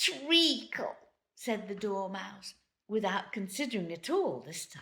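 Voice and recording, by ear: Lively intonation and a quiet background, with reading aloud in a natural voice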